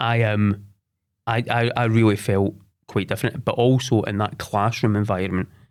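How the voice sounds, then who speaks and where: On a very clean recording with a silent background, a man talks at a moderate pace. He has a Scottish accent and a fairly low pitch. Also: long, frequent pauses. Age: 40s. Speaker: sports development head. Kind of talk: interview. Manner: halting.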